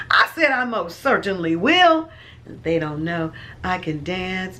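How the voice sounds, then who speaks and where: A woman speaks at a fairly low pitch with a bright, sharp tone. Audible room echo surrounds her voice. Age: 60s. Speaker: lifestyle vlogger. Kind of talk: casual vlog chat. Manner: animated.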